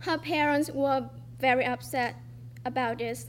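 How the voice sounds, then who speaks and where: A woman speaks with a Vietnamese accent. Her pace is fairly slow. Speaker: student storyteller. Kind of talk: reading aloud a personal essay. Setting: stage with audience.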